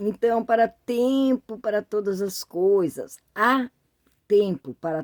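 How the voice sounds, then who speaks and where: Pitched in the middle range, a woman speaks at a very slow pace with lively intonation. The sound is dry and close, with no echo. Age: 60s. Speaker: YouTuber. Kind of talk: casual talk to camera. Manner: halting, many fillers.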